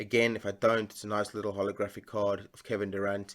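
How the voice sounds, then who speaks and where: The recording is very clean, with a silent background. A man speaks at a fairly low pitch. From South Africa. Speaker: sports card collector and YouTuber. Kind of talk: casual unboxing vlog. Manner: hesitant, many fillers.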